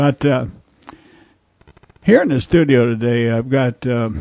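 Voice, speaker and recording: This man speaks at a moderate pace with a dark, mellow tone and ordinary pitch variation, the sound dry and close with no echo. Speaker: radio host. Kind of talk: radio talk show. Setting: radio studio. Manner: halting, with fillers.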